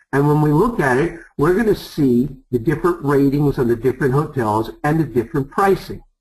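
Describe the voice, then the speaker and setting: In an American accent, a man talks at a fairly quick pace with hardly any pauses, his fairly high, somewhat breathy voice carrying lively intonation at a very even loudness. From New York. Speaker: travel sales presenter. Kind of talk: sales pitch.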